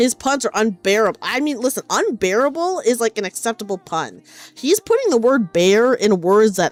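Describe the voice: Lively intonation throughout a plain reading aloud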